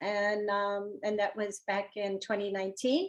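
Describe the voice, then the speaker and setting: A moderate pace against a quiet background. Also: woman. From Newark, New Jersey, Portuguese immigrant community. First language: Portuguese. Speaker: honorary consul. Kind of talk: interview conversation. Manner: hesitant, many fillers.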